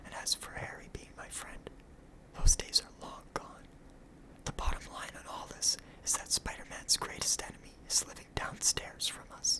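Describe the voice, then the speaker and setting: Whispering in a relaxed tone at a moderate pace, the speaker leaves long, frequent pauses amid noticeable background noise. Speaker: ASMR comic book reader. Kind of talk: dramatized comic book reading with character voices. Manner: whispered, relaxed.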